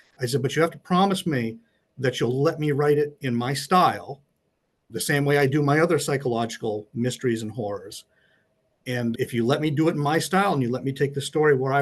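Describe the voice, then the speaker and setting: Fairly high and somewhat breathy, a man's voice shows ordinary pitch variation against a quiet background. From Maine. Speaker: mystery and horror author. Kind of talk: interview.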